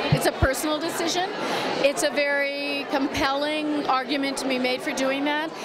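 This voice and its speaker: A woman speaks at a high pitch with fairly even intonation. Crowd noise carries in the background. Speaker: national radio news show host. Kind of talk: interview answer.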